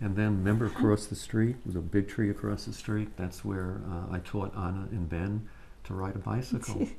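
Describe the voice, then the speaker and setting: A man's fairly low, somewhat breathy voice with an American accent, fairly even intonation and a moderate pace. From New York City (Brooklyn). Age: 70s. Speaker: storyteller. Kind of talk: casual chat. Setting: outdoors. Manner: halting.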